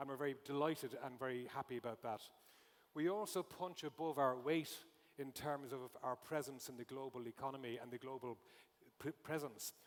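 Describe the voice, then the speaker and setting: Speaking with an Irish accent, a man keeps a medium pitch and fairly even intonation. His pace is fairly quick. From Ireland. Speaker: conference speaker, retail consultant. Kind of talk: conference talk.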